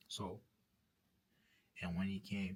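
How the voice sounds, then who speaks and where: Somewhat breathy, a man speaks slowly-ish at a fairly low pitch, with a fairly slow pace. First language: French. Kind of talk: testimony. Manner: halting, with many repetitions; earnest preaching.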